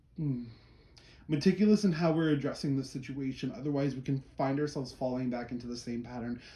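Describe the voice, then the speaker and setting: A man speaks with a dark, mellow tone. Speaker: tarot reader. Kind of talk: tarot reading for a client. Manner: fast; animated.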